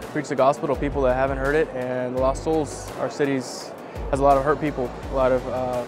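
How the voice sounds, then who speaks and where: Music sits in the background behind a man. The sound is dry, with no echo. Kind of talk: interview answer. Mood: hopeful, upbeat. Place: hall. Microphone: lapel.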